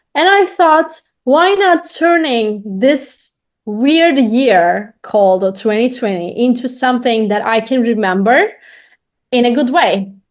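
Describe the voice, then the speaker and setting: Speaking with a Turkish accent, a woman uses a high voice with very wide pitch swings, keeping her loudness very even and her pace very slow. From Turkey. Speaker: podcaster, business owner. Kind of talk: interview.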